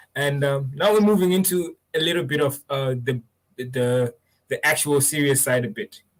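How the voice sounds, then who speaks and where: A man's somewhat breathy voice, fairly high in pitch, at a moderate pace with ordinary pitch variation. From Zimbabwe. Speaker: podcast host. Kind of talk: live-streamed interview.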